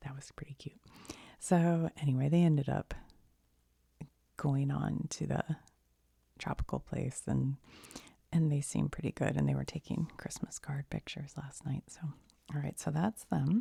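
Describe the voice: A woman with an American accent speaks at a fairly slow pace in a low pitch, her dark, mellow tone carrying vocal fry and a slightly husky edge, her intonation fairly even and her pauses long and frequent.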